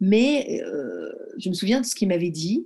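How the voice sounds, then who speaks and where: At a fairly slow pace, a woman talks in a dark, mellow tone with ordinary pitch variation. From Morocco. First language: Arabic (speaking French). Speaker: judoka. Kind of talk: interview. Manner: hesitant.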